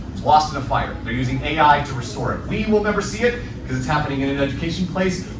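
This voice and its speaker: The speaker has an animated tone with ordinary pitch variation. Noticeable background noise and audible room echo surround the voice. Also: man. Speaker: marketing keynote speaker. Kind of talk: keynote talk. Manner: fast.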